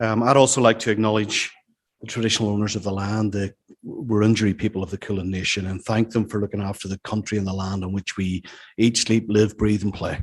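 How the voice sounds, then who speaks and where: A man talks very fast in a fairly low, flat monotone with a Northern Irish accent against a quiet background. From Northern Ireland. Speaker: business executive. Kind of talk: after-dinner talk. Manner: halting.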